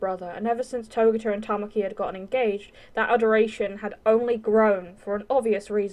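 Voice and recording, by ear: The voice sounds natural while reading aloud. Its intonation is fairly even.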